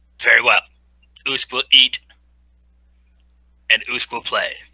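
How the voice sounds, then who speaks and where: In a put-on character voice with an extremely high pitch, a man speaks at a fairly slow pace. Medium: actual play. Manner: speaks in the third person, simple broken phrases.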